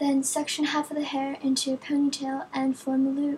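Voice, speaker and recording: A woman speaks high in pitch with a monotone, flat intonation. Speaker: hair tutorial creator. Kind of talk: hair tutorial voiceover.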